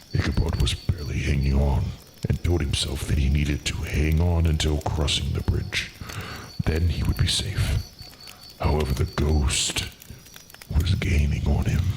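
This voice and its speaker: With clear background noise behind him, a man with a very deep, low pitch talks at a moderate pace in very even loudness and fairly even intonation, leaving long, frequent pauses. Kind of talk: spooky fireside storytelling. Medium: virtual streamer. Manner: courteous, theatrical.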